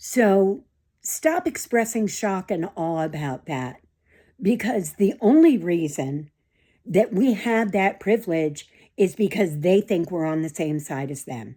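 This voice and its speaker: Speaking fairly slowly in an American accent, a woman with a medium-pitched voice and a dark, mellow tone makes very wide pitch swings. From United States. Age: 60s. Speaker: nurse and community theater actor. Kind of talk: personal vlog monologue. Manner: forceful, emphatic; hesitant with frequent fillers.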